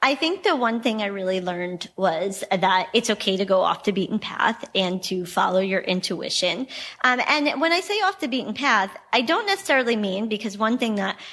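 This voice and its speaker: A woman with a New York accent, fairly high-pitched and lively in intonation, at a moderate pace with hardly any pauses. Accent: New York American. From New York, US. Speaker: travel company founder. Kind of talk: interview conversation.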